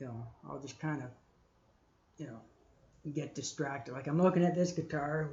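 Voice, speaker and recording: The speaker sounds somewhat breathy, with ordinary pitch variation. Long, frequent pauses break up speech that swings widely in loudness. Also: man. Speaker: live streamer building a guitar. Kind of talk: casual live-stream chat while working. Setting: live stream in workshop. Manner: slow, hesitant.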